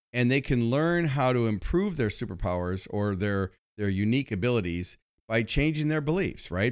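On a very clean recording with a silent background, a man has a normal speaking voice, medium in pitch, with lively intonation at a moderate pace. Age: 60s. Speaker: motivational speaker and marketing expert. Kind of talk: interview.

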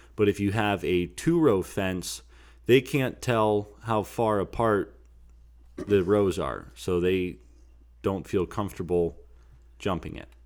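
A very clean recording with a silent background, very slow speech, and long, frequent pauses. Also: man, fairly low pitch for a man, lively intonation. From Pennsylvania. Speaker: hunting podcast host. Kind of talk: casual chat.

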